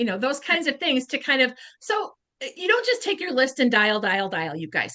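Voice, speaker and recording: In a raised, projected voice, a woman speaks with a high pitch and a bright, sharp, animated tone. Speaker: beauty sales consultant. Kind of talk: training talk. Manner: fast.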